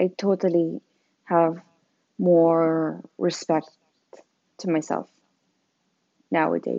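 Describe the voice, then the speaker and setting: A woman's fairly low voice with fairly even intonation, very slow and marked by long, frequent pauses. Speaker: podcast host. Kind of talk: raw unedited confessional rant, blunt and emotional, about friendships and depression. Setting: recorded alone with Bluetooth headphones, echo and background noise. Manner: self-conscious, apologizing for how she sounds, unscripted and rambling.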